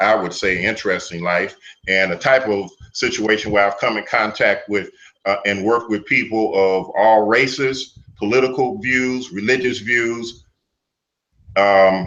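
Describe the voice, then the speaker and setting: Speaking at a fairly slow pace, a man has an unremarkable speaking voice with a fairly low pitch. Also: fairly even intonation. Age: 60s. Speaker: martial arts teacher. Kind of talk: interview.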